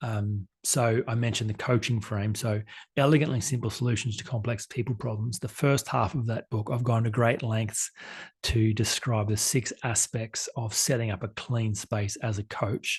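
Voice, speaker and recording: A man's somewhat breathy voice shows ordinary pitch variation. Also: quiet background. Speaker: life coach. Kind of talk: conference talk. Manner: fast.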